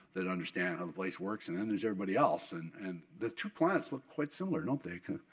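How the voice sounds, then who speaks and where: Over noticeable background noise, a fairly low-pitched man talks very fast with very wide pitch swings. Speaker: oil industry executive and keynote speaker. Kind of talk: keynote speech. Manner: halting with many repetitions.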